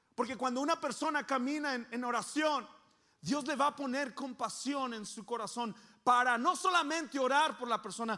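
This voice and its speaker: A man uses a raised, projected voice with an extremely high pitch and ordinary pitch variation. His loudness swings widely at a moderate pace. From Coahuila, Mexico. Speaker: pastor. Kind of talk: sermon.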